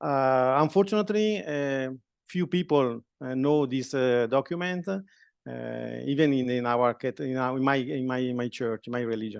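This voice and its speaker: A man with an Italian accent speaks at a moderate pace and medium pitch, his intonation lively. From Italy. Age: 50s. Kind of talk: talk to students. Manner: halting.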